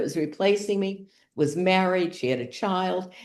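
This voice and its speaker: Dark, mellow speech with an American accent, a fairly slow pace and a quiet background. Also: woman. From Boston, US. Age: 80s+. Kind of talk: interview conversation.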